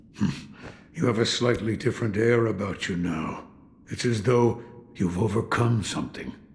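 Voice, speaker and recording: Putting on a character voice at a medium pitch, a man speaks at a moderate pace with long, frequent pauses. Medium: video game.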